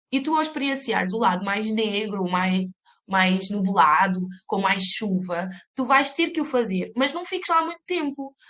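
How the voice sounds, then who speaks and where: Relaxed in tone yet bright and sharp, a woman talks at a fairly slow pace with a fairly high pitch and very wide pitch swings. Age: 30s. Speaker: life coach, mother, photographer. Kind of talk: podcast interview answer. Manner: relaxed but assertive.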